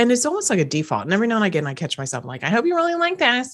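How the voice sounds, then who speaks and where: Her fairly high voice swings very widely in pitch as this woman speaks with an American accent. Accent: slight US East Coast accent, shows when tired. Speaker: podcast host, personal growth coach. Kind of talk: solo podcast monologue. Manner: casual, conversational with fillers.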